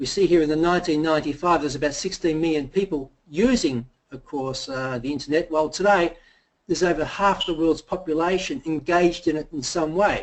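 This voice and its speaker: A man with an ordinary speaking voice and a fairly high pitch talks at a fairly quick pace, his pitch varying in an ordinary way. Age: 50s. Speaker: company presenter. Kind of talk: sales pitch.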